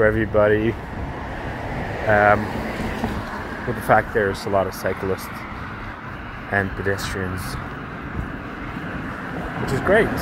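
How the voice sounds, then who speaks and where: Moderate pace with long, frequent pauses, a dry sound with no echo, and noticeable background noise. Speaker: walking tour vlogger. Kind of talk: casual vlog chat. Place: street. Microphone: phone near.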